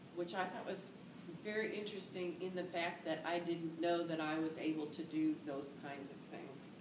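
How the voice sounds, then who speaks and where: Noticeable background noise sits behind a woman with a fairly low pitch. She speaks at a moderate pace with fairly even intonation. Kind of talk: interview answer. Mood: calm, reflective. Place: office.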